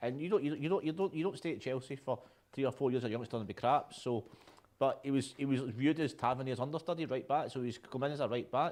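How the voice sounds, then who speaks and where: This man talks in a Scottish accent at a fairly high pitch. His pace is very fast. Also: ordinary pitch variation. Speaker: football fan show host. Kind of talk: casual chat.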